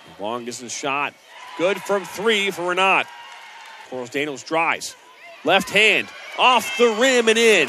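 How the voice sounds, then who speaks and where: Over noticeable background noise, a man with a high voice projects loudly, swinging his pitch very widely and leaving long, frequent pauses, in a dry sound with no echo. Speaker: basketball play-by-play announcer. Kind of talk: live sports commentary, highlight-reel play-by-play. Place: stadium. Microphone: headset.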